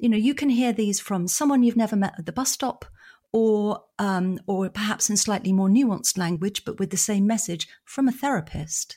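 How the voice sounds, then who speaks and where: On a very clean recording with a silent background, a woman with an English accent speaks at a moderate pace in a dark, mellow, somewhat breathy tone with ordinary pitch variation. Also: medium pitch for a woman. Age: 50s. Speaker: psychotherapist and author. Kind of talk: interview.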